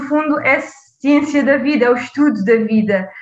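A woman with a high voice and ordinary pitch variation speaks at a moderate pace in a room with audible echo. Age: 20s. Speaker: public health PhD student. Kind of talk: interview.

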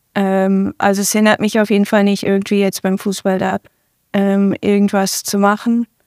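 In a very clean recording with a silent background and a dry, close sound with no echo, a woman of medium pitch speaks at a moderate pace in a plain, everyday voice. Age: 20s. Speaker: professional football player. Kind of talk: interview.

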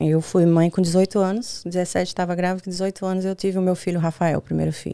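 A dark, mellow voice at a fairly quick pace, monotone and flat, in a dry, close sound with no echo. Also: woman. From Brazil, Bahia (Northeast). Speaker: sex coach and spa owner. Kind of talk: casual chat.

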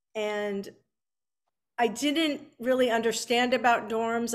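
A fairly high-pitched woman's voice with a Californian accent and monotone, flat intonation, on a very clean recording with a silent background. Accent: General American, Californian. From Southern California, Beverly Hills. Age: 50s. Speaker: author. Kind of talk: interview.

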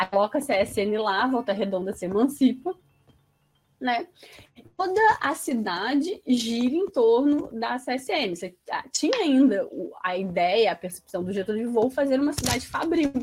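Over music in the background, a high-pitched woman speaks fairly slowly with very wide pitch swings and big swings in loudness. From Resende, Rio de Janeiro state, Brazil. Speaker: sociologist, postdoctoral researcher. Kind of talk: interview.

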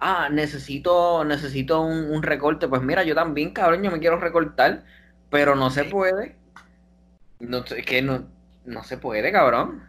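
The man's pitch is fairly high and varies in an ordinary way. He talks at a fairly slow pace. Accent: Puerto Rican. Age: 20s. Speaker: biomedical sciences student. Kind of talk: casual chat.

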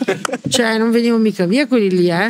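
Her pitch varying in an ordinary way, a woman talks at a very fast pace. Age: 60s. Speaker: former Ferrari mechanic. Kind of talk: casual interview. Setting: in person around a table.

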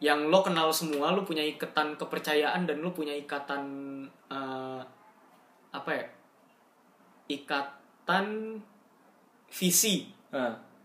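A woman speaks at a very slow pace with long, frequent pauses, her voice very deep and low with ordinary pitch variation. Noticeable background noise runs underneath. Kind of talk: casual chat.

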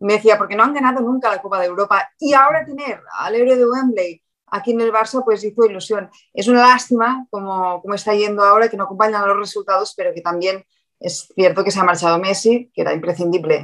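A woman talks very fast in a Catalan accent. Her pitch is medium, with ordinary variation. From Catalonia (Figueres). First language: Catalan (speaking Spanish). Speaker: sports reporter. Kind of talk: casual interview chat.

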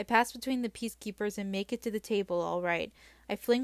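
An unforced reading voice, its pitch rising and falling in an ordinary way

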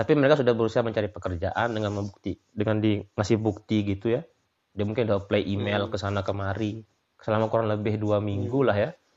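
A man talking very fast at a fairly low pitch. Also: fairly even intonation. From Lombok, Indonesia (Sasak). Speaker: migrant worker in Australia. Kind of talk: casual interview chat.

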